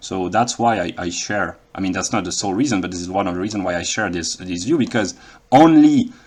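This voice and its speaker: A man with a French accent speaks at a very fast pace. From France. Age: 30s. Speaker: philosophy vlogger. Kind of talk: monologue lecture. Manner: halting, many fillers.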